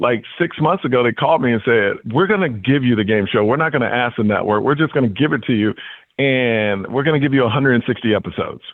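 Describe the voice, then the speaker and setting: A man speaks very fast in an animated, energetic way at medium pitch. His loudness stays very even while his pitch varies normally. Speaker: comedian and game show host. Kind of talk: interview. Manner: energetic, excited.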